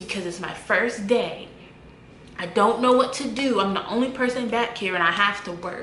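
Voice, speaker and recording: Fairly high female voice, moderate pace, ordinary pitch variation, noticeable background noise underneath. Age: young. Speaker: former fast-food worker. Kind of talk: casual storytime talk to camera.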